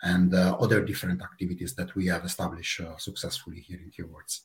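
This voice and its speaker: This man's voice is somewhat breathy and moves at a fairly quick pace. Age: 30s. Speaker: player support project manager. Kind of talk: casual interview.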